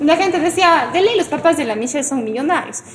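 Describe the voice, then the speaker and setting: A woman talks at a very fast pace with lively intonation. Noticeable background noise can be heard. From Ecuador, Cuenca. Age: 20s. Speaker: singer-songwriter. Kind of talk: casual chat.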